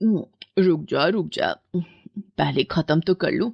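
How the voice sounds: In a put-on character voice, a woman speaks slowly with a low pitch, lively intonation, vocal fry and a slightly husky edge, recorded in a dry, close sound with no echo.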